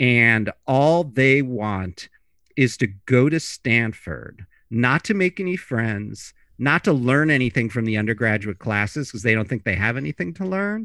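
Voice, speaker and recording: In a normal speaking voice, a man with an American accent speaks at a fairly slow pace with lively intonation, on a very clean recording with a silent background and a dry, close sound with no echo. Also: medium pitch for a man. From US Midwest, Chicago. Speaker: personal finance journalist and author. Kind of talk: interview conversation.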